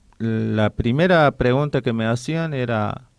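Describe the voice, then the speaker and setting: On a very clean recording with a silent background, a man speaks at a medium pitch with ordinary pitch variation. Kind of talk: radio interview. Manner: halting, with many restarts.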